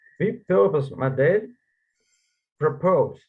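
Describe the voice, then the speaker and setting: At a fairly slow pace, a man with a Russian accent speaks in a fairly high pitch that makes very wide swings. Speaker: conference presenter. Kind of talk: reading aloud. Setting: online conference. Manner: halting.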